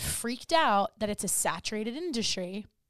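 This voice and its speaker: On a very clean recording with a silent background, a woman with an unremarkable speaking voice speaks fairly slowly at a fairly high pitch, the sound dry and close without echo. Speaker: wellness coach and podcast host. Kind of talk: casual interview chat.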